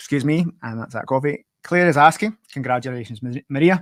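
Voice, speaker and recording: A man speaks fairly quickly at medium pitch in a Glaswegian accent, with ordinary pitch variation. The recording is very clean, dry and close, with a silent background and no echo. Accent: Glaswegian Scottish. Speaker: podcast host. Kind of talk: interview. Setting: live stream. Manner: fast.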